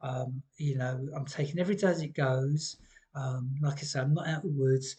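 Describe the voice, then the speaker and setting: Somewhat breathy and dark, mellow in tone, a man with a British accent talks at a very fast pace. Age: 60s. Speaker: vlogger. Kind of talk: personal testimony vlog. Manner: hesitant, many ums.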